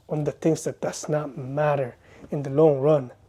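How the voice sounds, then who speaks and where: The man's voice is fairly high and his intonation monotone and flat, at a moderate pace. The recording is very clean, with a silent background. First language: not English. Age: 30s. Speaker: vlogger. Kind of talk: personal vlog monologue. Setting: bedroom, self-recorded. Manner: earnest, hesitant.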